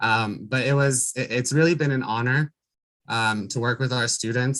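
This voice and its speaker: With a quiet background, a man speaks at a moderate pace in a bright, sharp tone, medium in pitch with fairly even intonation. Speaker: classified senate president at a community college. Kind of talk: farewell remarks at a board meeting. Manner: halting, many repetitions and fillers.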